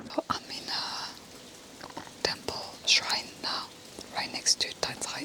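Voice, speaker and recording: A woman speaks over noticeable background noise. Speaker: travel vlogger. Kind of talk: travel vlog narration. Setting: outdoors. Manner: whispering.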